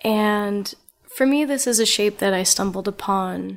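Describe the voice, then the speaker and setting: A normal speaking voice with an American accent, ordinary pitch variation and a moderate pace. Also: woman. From New Jersey, Lawrenceville. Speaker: artist. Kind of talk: casual chat. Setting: artist's studio.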